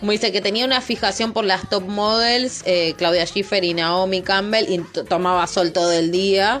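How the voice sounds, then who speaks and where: Music plays in the background as a woman speaks in a Rioplatense accent. Her medium pitch and fairly even intonation hold at a moderate pace. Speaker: podcast host. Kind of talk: casual chat.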